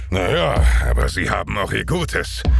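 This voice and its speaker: A man performs a put-on character voice with clear background noise behind him. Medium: audio drama. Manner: contemptuous, gloating.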